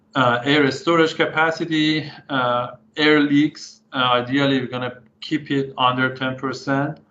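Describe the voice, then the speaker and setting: Audible room echo surrounds a man who speaks at a fairly slow pace with a fairly high pitch and fairly even intonation. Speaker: engineering professor, guest speaker. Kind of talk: lecture. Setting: online webinar. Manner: many fillers and hesitations.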